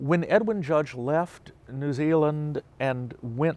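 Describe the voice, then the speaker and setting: Talking at a very slow pace with a Southern US accent, a man shows ordinary pitch variation. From US South, Mississippi. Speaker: professor. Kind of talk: interview. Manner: hesitant with fillers.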